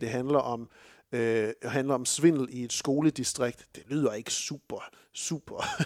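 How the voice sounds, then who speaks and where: A man with an unremarkable speaking voice talks at a fairly slow pace, fairly high in pitch with fairly even intonation. The recording is very clean, with a silent background. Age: 30s. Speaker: film podcast host. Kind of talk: casual chat.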